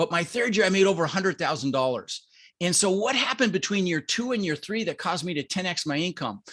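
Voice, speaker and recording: This man talks very fast in a high pitch with an American accent and lively intonation. The background is quiet. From Colorado, US. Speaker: real estate investor. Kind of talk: podcast interview.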